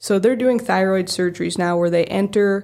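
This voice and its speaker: A woman with an Upper Midwest accent speaks with fairly even intonation on a very clean recording with a silent background. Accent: Upper Midwest American. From South Dakota, around Aberdeen. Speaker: acupuncturist. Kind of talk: casual interview.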